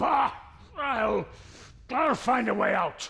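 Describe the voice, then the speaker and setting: A man puts on a growling character voice, pitched extremely high, with ordinary rise and fall in his pitch. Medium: video game. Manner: blustering.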